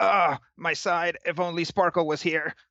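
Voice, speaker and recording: A man's put-on character voice, high in pitch, monotone and flat in intonation, at a moderate pace. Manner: pained, complaining.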